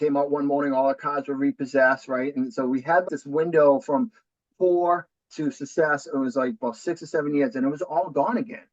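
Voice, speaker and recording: Speaking at a fairly quick pace in a Boston accent, a man comes through with a dry, close sound with no echo. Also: fairly high pitch for a man, ordinary pitch variation. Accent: thick Boston. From New Hampshire, US Northeast. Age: 40s. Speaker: real estate investor. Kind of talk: podcast interview.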